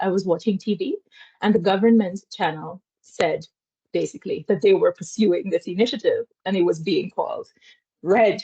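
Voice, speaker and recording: A woman's medium-pitched, somewhat breathy voice in a Guyanese accent, with a dark, mellow tone, lively intonation and a moderate pace. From Guyana. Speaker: academic lecturer. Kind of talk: academic seminar talk and Q&A.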